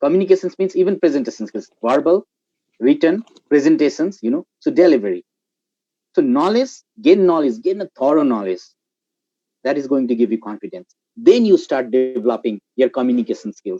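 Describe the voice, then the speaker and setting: With a Nepali accent, a man speaks at a fairly quick pace and a fairly high pitch, his dark, mellow voice swinging very widely in pitch amid long, frequent pauses. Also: dry, close sound with no echo. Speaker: guest speaker, marketing professional. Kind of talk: live panel discussion.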